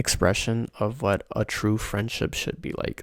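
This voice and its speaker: A soft-spoken man's fairly low voice with vocal fry. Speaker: ASMR creator. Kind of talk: casual talk to camera, soft-spoken anime recommendations. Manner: soft-spoken, rambling.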